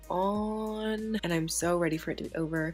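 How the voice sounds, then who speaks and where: A woman speaks with music in the background. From United Kingdom. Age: 20s. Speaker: student and book vlogger. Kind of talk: casual talk to camera.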